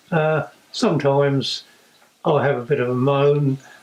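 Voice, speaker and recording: Through noticeable background noise, a man with an East Anglian accent speaks at a fairly high pitch. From England, South Cambridgeshire. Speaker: competitive ploughman and tractor restorer. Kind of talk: interview testimony. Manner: hesitant, many fillers.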